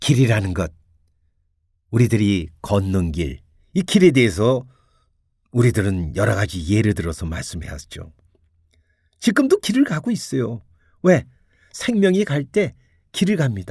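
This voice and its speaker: A man speaks fairly slowly at a medium pitch, somewhat breathy, with very wide pitch swings. Long pauses come often. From Korea, Seoul. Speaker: radio host giving Buddhist talks. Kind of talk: Buddhist dharma talk on radio.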